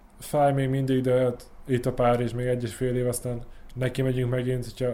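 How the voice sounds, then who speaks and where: The voice has a dark, mellow tone and a fairly quick pace. Its intonation stays monotone and flat. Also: man. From Subotica, Serbia. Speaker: Olympic rower. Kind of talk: interview.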